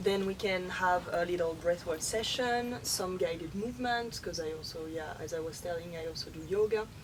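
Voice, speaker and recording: A woman with a French accent speaks at medium pitch and a moderate pace, with ordinary pitch variation and noticeable background noise. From France. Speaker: workshop facilitator. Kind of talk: interview. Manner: halting.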